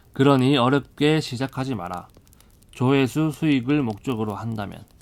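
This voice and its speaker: Speaking with a Busan accent, a man talks at a moderate pace in a medium pitch with ordinary pitch variation. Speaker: audiobook narrator. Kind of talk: audiobook reading. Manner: soft-spoken.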